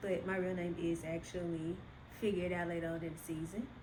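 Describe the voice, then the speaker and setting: Audible room echo surrounds a woman talking at a fairly quick pace. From US South, Memphis, Tennessee. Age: 20s. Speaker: podcast host. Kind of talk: casual chat. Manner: chatty, informal.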